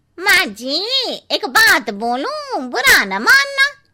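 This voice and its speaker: A woman's cartoonish character voice, extremely high-pitched and very slow, with very wide pitch swings. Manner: blunt, familiar, cheeky.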